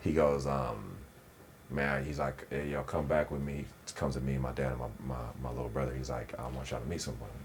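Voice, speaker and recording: Talking at a fairly quick pace with an American accent, a man with a very deep, low voice stays flat and monotone amid noticeable background noise and audible room echo. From Inland Empire, Southern California. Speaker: actor and former basketball player. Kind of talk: interview conversation. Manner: casual, halting with fillers.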